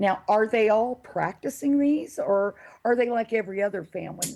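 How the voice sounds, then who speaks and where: With an American accent and lively intonation, a woman speaks at medium pitch in a dark, mellow tone. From US South. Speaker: radio show host. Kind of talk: interview. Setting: live online show with chat room.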